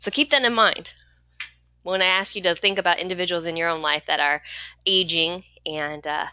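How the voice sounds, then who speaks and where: A woman speaks at a fairly quick pace in a bright, sharp tone with a fairly low pitch. The background is quiet. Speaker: online course instructor. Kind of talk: live online teaching session. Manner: fast when excited.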